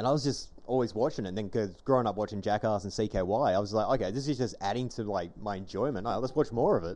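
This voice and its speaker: An Australian-accented man with a dark, mellow tone, fairly low pitch, very fast pace and lively intonation. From Western Australia, Armadale (Perth). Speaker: podcast host. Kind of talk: casual chat.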